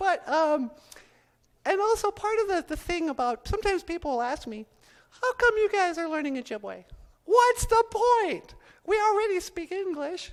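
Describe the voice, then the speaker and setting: Putting on a cartoonish character voice at an extremely high pitch, a man speaks at a moderate pace. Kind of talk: live stage ventriloquism act. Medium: puppet.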